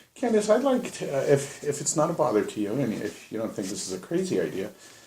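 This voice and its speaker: At a very fast pace, a man speaks with a fairly high pitch and very wide pitch swings. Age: 60s. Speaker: sales and marketing networker. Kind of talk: casual chat. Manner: loud, energetic.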